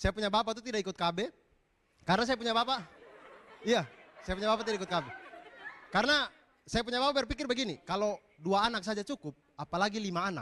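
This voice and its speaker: A raised, projected voice at a very fast pace, with ordinary pitch variation and long, frequent pauses. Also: man, high pitch for a man. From East Nusa Tenggara, eastern Indonesia. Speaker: stand-up comedian. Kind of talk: stand-up.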